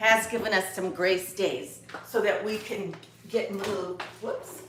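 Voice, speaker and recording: At a fairly slow pace, a woman speaks at a medium pitch with fairly even intonation, audible room echo and noticeable background noise. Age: 60s. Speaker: lifestyle vlogger. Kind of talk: casual chat. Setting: at home, live video. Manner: halting.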